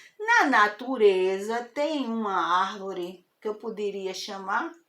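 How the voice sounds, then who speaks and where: Audible room echo is present. The speaker is a woman. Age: 70s. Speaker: spiritist talk host. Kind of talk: informal spiritual lecture. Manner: conversational, hesitant.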